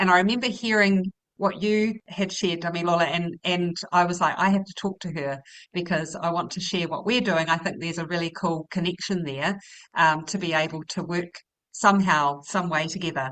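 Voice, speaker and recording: Speaking at a fairly quick pace, a woman with a New Zealand accent uses a fairly low pitch and fairly even intonation. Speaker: educator. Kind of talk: panel conversation.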